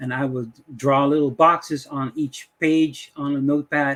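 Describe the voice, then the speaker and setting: The speech is fairly slow, with fairly even intonation and a Dutch accent. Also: man. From Dutch West Indies. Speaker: YouTuber, AI image tutorial maker. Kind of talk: casual talk to camera, tutorial intro. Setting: screen-share recording at computer. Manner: hesitant, many fillers.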